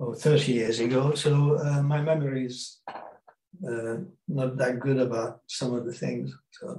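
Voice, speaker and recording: Speaking with a Hungarian accent, a man talks at a fairly slow pace in a somewhat breathy voice with fairly even intonation. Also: medium pitch for a man. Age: 80s. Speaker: film and TV director. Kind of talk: interview, reminiscing. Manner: halting, hesitant with many fillers.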